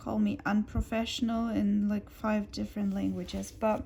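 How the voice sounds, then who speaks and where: The speaker has a non-native accent. The pace is fairly slow. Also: woman. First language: German. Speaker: crafting youtuber. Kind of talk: casual chat. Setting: at home on the sofa. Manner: quieter than usual.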